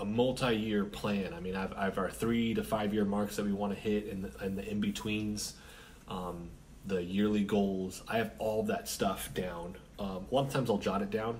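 The recording carries light background noise. A man speaks in a fairly low pitch with fairly even intonation. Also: moderate pace. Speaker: independent comic author. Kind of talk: casual vlog chat. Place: home room. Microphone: camera far.

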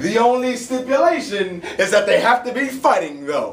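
A man with an American accent speaks in a high pitch. Light background noise and audible room echo accompany him. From Bronx, New York. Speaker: spoken word poet and actor. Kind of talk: spoken word poetry performance at an open mic. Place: bar. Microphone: camera far.

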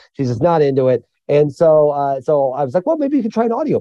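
This man has a Midwestern American accent and a dark, mellow tone, speaking at a fairly quick pace. His pitch swings very widely, and the sound is dry and close with no echo. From rural central Illinois (Mattoon). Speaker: author and journalist. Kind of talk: interview conversation. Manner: animated.

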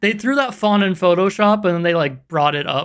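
The setting is quiet. A man talks with lively intonation. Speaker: reaction video host. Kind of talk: casual reaction commentary. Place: home room.

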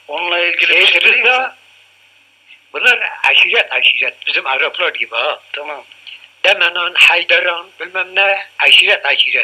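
A man speaks at a fairly slow pace against noticeable background noise. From Urfa, southeastern Turkey. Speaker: war veteran, former army driver. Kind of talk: interview answer. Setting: home tape recording.

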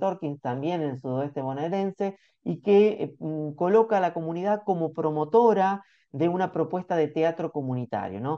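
A man speaks with a Rioplatense accent at a fairly quick pace. The background is quiet. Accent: Argentine Spanish (rioplatense). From Argentina. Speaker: researcher, report author; report author. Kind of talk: academic presentation. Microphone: video call.

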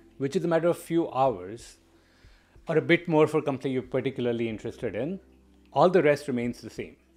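Speaking at a very fast pace, a man with a fairly high pitch uses lively intonation. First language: not English. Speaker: product management coach. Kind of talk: educational monologue video. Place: home room. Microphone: studio mic.

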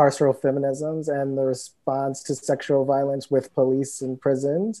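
A man with an American accent at a fairly slow pace, quiet background. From US Midwest, Cleveland, Ohio; Ohio. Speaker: writer and editor; panelist. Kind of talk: panel discussion. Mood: thoughtful, reflective. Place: home room. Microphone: earbuds.

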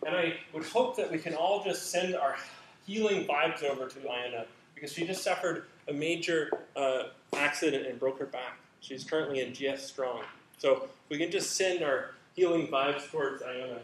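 Audible room echo and light background noise surround a man speaking at a moderate pace with ordinary pitch variation. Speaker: candidate. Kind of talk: academic presentation. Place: hall.

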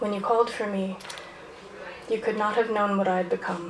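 A woman speaks at a fairly high pitch. Audible room echo and light background noise are in the recording. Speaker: poet performer. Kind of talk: poem performed, spoken-word poetry. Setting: stage with audience. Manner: casual, chatty and self-aware between pieces. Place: stage.

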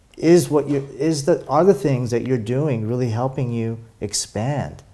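A man's dark, mellow tone at a fairly slow pace, with ordinary pitch variation. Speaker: interview guest, spiritual coach. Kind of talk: interview answer. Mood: warm, reflective. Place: home room. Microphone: lapel.

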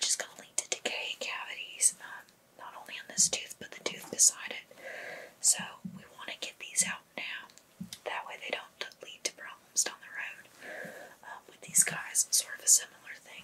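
Whispering at a moderate pace, a woman leaves long, frequent pauses as her loudness swings widely. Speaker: ASMR creator. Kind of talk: ASMR dental exam roleplay. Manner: whispered, soft-spoken.

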